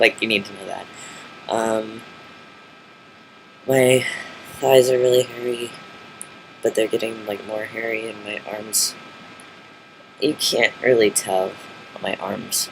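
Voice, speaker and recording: Over noticeable background noise, a man speaks at a fairly slow pace and medium pitch, with fairly even intonation, big swings in loudness, and long, frequent pauses. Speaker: vlogger. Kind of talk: casual video diary. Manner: halting, many fillers.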